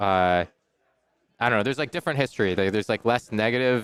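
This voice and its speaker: This man has a fairly low pitch and ordinary pitch variation, speaking at a fairly quick pace. The recording is very clean, with a silent background. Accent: Canadian. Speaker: esports caster. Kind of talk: casual chat.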